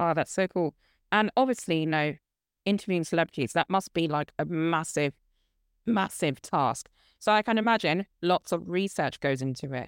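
A woman's unremarkable speaking voice, fairly low-pitched, at a moderate pace with lively intonation, in a very clean recording with a silent background and a dry, close sound with no echo. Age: 20s. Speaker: podcast host and student. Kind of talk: casual interview chat.

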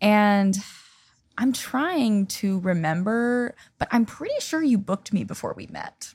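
A woman's ordinary speaking voice, fairly high in pitch with ordinary variation, on a very clean recording against a silent background. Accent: American. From US Pacific Northwest, Seattle. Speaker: singer-songwriter. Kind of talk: casual chat. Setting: home.

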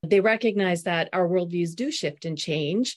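Against a quiet background, a woman with a plain, everyday voice speaks at medium pitch with ordinary pitch variation. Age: 60s. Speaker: author and organizational consultant. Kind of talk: interview conversation.

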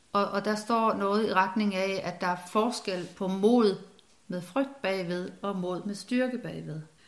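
A woman speaks at a very slow pace with a medium pitch and fairly even intonation. Noticeable background noise runs underneath. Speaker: former doctor and spiritual author. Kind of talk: casual interview conversation. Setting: at home in living room. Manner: hesitant, many fillers and repetitions.

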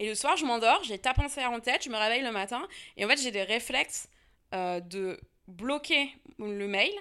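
Speech with lively intonation comes at a fairly slow pace on a very clean recording with a silent background. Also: woman, fairly high pitch for a woman. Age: 30s. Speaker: history and geography teacher, author. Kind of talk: interview conversation. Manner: casual, hesitant with fillers.

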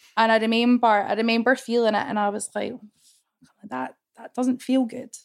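With a Scottish accent, a woman speaks at a fairly quick pace and fairly high pitch. Her intonation is flat and monotone, though her loudness swings a lot. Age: 20s. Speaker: woman with cancer gene sharing her experience. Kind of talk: interview testimony.

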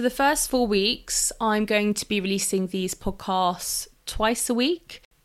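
A woman speaks at a medium pitch with a London accent. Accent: southern English (London). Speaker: nutritionist, podcast host. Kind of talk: solo podcast monologue. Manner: animated.

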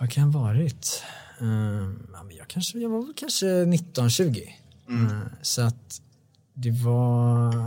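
A man's dark, mellow, somewhat breathy medium-pitched voice at a very slow pace, with lively intonation and big swings in loudness. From Sweden, Bålsta near Stockholm. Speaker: songwriter. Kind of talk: casual interview chat.

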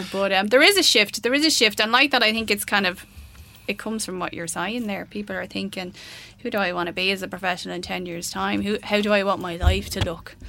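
Bright and sharp in tone, a woman's medium-pitched voice carries vocal fry at a very fast pace. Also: ordinary pitch variation. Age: 40s. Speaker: career coach. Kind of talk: interview. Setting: studio.

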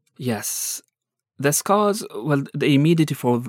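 On a very clean recording with a silent background, a man speaks at a fairly slow pace. The sound is dry and close, with no echo. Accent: Afghan. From Afghanistan. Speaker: journalist. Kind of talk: interview testimony. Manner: halting.

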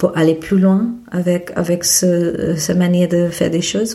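Speaking at a fairly slow pace, the woman has a fairly low pitch. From India, Mumbai. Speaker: photobook publisher and photographer. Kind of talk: interview. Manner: halting.

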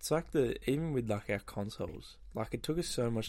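Here is a man talking. He speaks with an Australian accent. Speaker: podcast host. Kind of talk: casual chat. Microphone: new snowball microphone.

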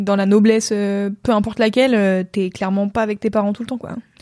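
A woman's dark, mellow, medium-pitched voice in monotone, flat intonation, on a very clean recording with a silent background. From France. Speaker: content creator. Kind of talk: casual chat. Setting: Twitch livestream.

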